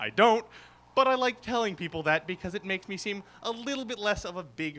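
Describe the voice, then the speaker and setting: A man with an American accent speaks in a high, raised, projected voice at a fairly quick pace. His tone is bright and sharp, and his intonation is lively. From Boston, Massachusetts. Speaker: comedian. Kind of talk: stand-up. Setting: stage with audience at open mic.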